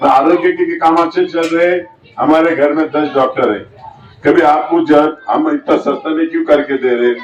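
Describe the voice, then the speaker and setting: Noticeable background noise surrounds the recording. In it, a man speaks at a moderate pace. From Maharashtra, Yeola (Nashik district). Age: 60s. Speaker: politician. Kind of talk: campaign speech. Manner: animated.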